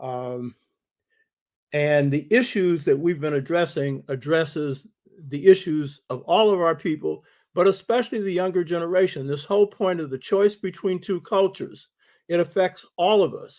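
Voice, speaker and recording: At a moderate pace, a man speaks at a high pitch with ordinary pitch variation. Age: 80s+. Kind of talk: casual talk to online audience.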